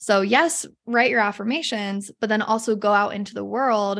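Here is an ordinary speaking voice with an American accent, moving at a moderate pace with fairly even intonation on a very clean recording with a silent background. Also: woman. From Utah, US (north of Salt Lake City). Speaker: confidence coach. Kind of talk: casual interview chat.

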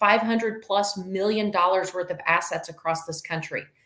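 This woman has a plain, everyday voice, medium in pitch, with ordinary pitch variation. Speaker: podcast host. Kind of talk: interview.

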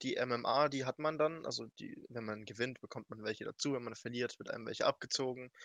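In a plain, everyday voice, a man speaks at a moderate pace with fairly even intonation, the sound dry and close with no echo. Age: 20s. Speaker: speedrunner and streamer. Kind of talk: casual chat.

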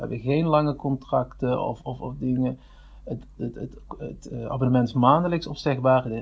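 A man with a medium pitch talks at a fairly slow pace, sounding somewhat breathy. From Netherlands, Limburg (Venlo). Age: 30s. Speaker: online marketing specialist. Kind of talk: casual interview. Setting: studio. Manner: halting, many repetitions.

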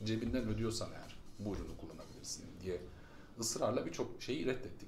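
Audible room echo hangs around a man's voice. He speaks at a fairly quick pace with a medium pitch. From Germany, moved to Turkey at 11-12. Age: 40s. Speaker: startup founder. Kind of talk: casual interview.

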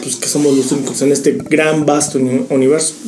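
A man with a fairly high pitch talks at a fairly quick pace. Audible room echo and noticeable background noise surround him. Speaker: podcast co-host. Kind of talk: casual chat.

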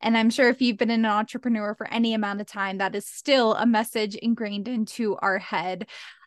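In a normal speaking voice with an American accent, a woman speaks fairly quickly at a fairly high pitch with fairly even intonation, the sound dry and close with no echo and the background quiet. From Philadelphia area, Pennsylvania. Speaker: cycle syncing coach. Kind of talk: casual interview.

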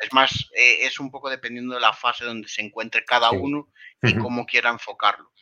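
The delivery is flat and monotone. The pace is very fast. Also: man, medium pitch for a man. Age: 20s. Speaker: WordPress consultant and trainer. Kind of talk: interview.

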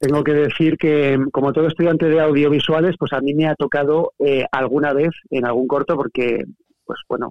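A man with fairly even intonation and a normal speaking voice. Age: 40s. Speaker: writer. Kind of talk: casual chat.

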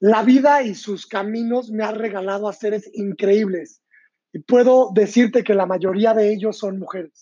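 Fairly even intonation at a fairly slow pace. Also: man, high pitch for a man. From Mexico, San Luis Potosí. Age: 30s. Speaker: image consultor and podcast host. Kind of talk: motivational monologue.

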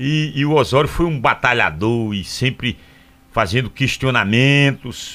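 In an unremarkable speaking voice, a man talks fairly slowly at a medium pitch with ordinary pitch variation. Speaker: radio host. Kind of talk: live radio talk show. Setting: radio studio.

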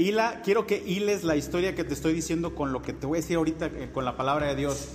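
Audible room echo surrounds a man who talks at a fairly quick pace in a high voice. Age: 40s. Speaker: pastor. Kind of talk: sermon.

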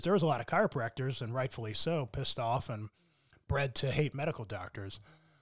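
Heard in a normal speaking voice at a fairly quick pace with ordinary pitch variation, the speech has a dry, close sound with no echo on a very clean recording with a silent background. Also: man. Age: 40s. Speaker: chiropractor. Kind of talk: casual chat.

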